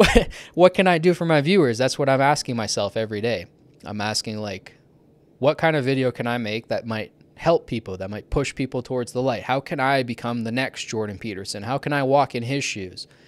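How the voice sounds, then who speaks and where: Recorded very cleanly with a silent background and a dry, close sound with no echo, a man of medium pitch with a Canadian accent talks at a fairly quick pace with lively intonation. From Canada. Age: 20s. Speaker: YouTuber. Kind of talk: personal monologue. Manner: articulate, fluid.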